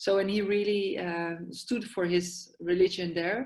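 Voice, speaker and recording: With a Dutch accent, a woman speaks fairly slowly at a medium pitch, her intonation fairly even. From Netherlands, Amsterdam. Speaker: yoga therapist and psychiatric nurse. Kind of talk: podcast interview. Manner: halting, many fillers.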